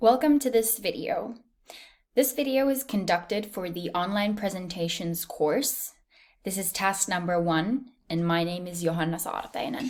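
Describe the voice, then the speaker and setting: A woman with a medium pitch talks at a moderate pace with lively intonation on a very clean recording with a silent background. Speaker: university student. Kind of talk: recorded presentation. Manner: clear.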